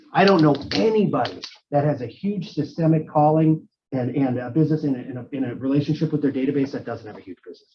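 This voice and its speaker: Fairly quick and somewhat breathy, a man talks at a fairly high pitch with lively intonation. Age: 40s. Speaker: real estate team leader. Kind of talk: interview Q&A.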